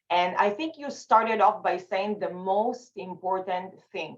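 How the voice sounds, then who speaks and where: A woman with an Israeli accent, at a fairly slow pace. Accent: Israeli accent, noticeable. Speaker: communication facilitator and speaker. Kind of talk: panel discussion.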